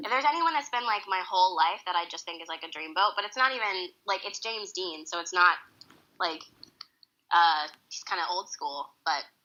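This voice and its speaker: An ordinary speaking voice with an American accent, fairly quick and with lively intonation, plus big swings in loudness. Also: woman, medium pitch for a woman. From Boston area, US. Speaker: Broadway actress. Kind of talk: casual interview chat.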